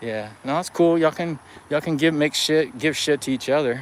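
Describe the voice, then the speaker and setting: Against noticeable background noise, a man with a fairly high pitch speaks at a fairly quick pace with ordinary pitch variation. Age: 50s. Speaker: running vlogger doing a live stream. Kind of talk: casual live-stream chat with viewers.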